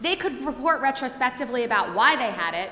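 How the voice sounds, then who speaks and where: A woman talks loudly and very fast in a high pitch, with audible room echo and noticeable background noise. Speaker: professor. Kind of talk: lecture.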